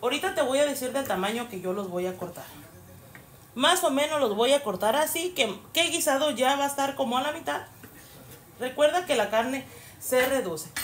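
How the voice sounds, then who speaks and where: A woman's high-pitched voice with very wide pitch swings, a moderate pace and long, frequent pauses, over light background noise. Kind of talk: tutorial. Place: kitchen. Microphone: phone near.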